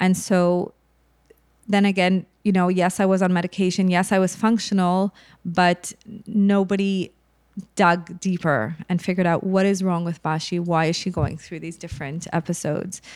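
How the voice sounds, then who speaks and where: An ordinary speaking voice from a woman, medium in pitch, moderate in pace, with fairly even intonation on a very clean recording with a silent background. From Montreal, Canada. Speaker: mental health advocate. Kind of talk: personal testimony in interview.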